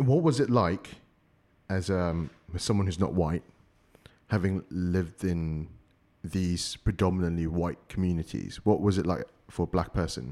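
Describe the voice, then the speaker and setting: A man speaks at a moderate pace with a very deep, low pitch. His delivery breaks often into long pauses. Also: ordinary pitch variation. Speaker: podcast host. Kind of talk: casual chat.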